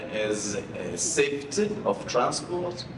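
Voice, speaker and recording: With very wide pitch swings, a man speaks amid noticeable background noise and audible room echo. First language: a local Mozambican language, then Portuguese. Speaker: government official. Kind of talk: conference speech. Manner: halting.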